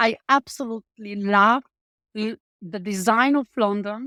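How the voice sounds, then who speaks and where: The speech comes at a fairly slow pace with a Polish accent, in a very clean recording with a silent background and a dry, close sound with no echo. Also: woman. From Poland. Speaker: tech startup founder. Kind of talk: interview.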